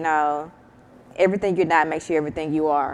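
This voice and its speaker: A woman with a Southern US accent and fairly even intonation. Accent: Southern country accent, persistent. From US South, Mississippi. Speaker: startup founder. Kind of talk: panel discussion.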